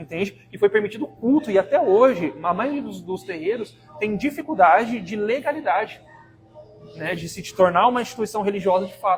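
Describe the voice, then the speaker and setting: Over music in the background, a man talks fairly quickly in a high pitch, with lively intonation and big swings in loudness. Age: 20s. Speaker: activist and university professor. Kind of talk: podcast interview. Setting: live podcast studio. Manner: halting, many fillers.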